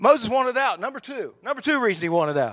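A man projects a raised voice at an extremely high pitch, his intonation lively throughout. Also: very clean recording, silent background. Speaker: preacher. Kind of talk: sermon. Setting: church; church with audience. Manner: fast talker.

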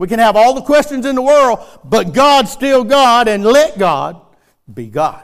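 A man talks in a Southern US accent at an extremely high pitch. His intonation is lively and his pace fairly slow. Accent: US South. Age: 60s. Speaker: preacher. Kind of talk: sermon. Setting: church.

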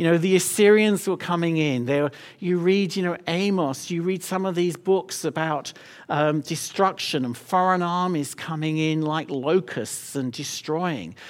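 In a very clean recording with a silent background, a man with an English accent speaks at a high pitch and a fairly slow pace, with ordinary pitch variation. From London, England. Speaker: missions leader. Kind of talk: sermon. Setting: church.

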